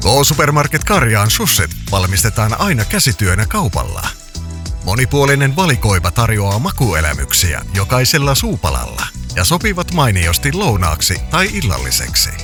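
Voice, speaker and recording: Music plays in the background as a man speaks at a fairly slow pace. His loudness stays very even while his pitch swings very widely. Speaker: voice-over artist. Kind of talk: radio commercial read.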